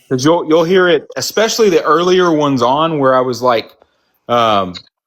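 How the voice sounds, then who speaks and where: With a fairly high pitch and lively intonation, a man with an American accent speaks at a moderate pace and very even loudness. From Texas. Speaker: TikTok content creator. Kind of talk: casual chat.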